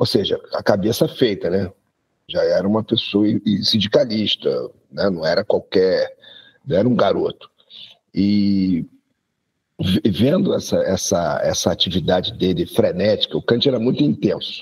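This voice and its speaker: Taking long, frequent pauses, a man speaks at a fairly slow pace. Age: 60s. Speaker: university professor. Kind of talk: casual chat.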